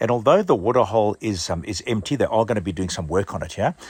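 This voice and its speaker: Over a very clean recording with a silent background, a man speaks in a somewhat breathy voice with lively intonation. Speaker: overland travel vlogger. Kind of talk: casual travel vlog narration. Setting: outdoors.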